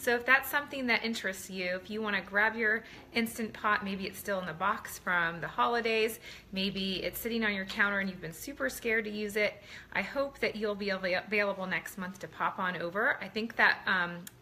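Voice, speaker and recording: Speaking fairly quickly, a woman uses ordinary pitch variation. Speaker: home cooking product seller. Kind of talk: casual live stream chat. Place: kitchen. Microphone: phone near.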